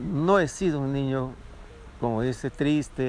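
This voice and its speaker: A man's medium-pitched voice comes through alongside noticeable background noise. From Peruvian Amazon (Loreto/Ucayali). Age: 70s. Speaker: interviewee telling his life story. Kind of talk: life story interview. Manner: halting, with repetitions.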